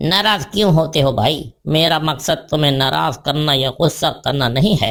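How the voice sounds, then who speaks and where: A man performs a cartoonish character voice at a moderate pace with a fairly high pitch and very even loudness. The recording is very clean, with a silent background. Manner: polite, placating.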